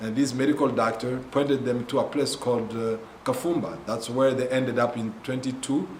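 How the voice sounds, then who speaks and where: With a Congolese accent, the speech moves at a moderate pace amid audible room echo. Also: man. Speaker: missionary ministry leader. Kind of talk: testimony. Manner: halting, many fillers.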